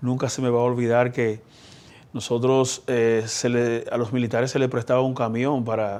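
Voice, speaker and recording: A man of medium pitch talks at a moderate pace with monotone, flat intonation. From Dominican Republic, Elías Piña. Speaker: politician, senator. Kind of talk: interview.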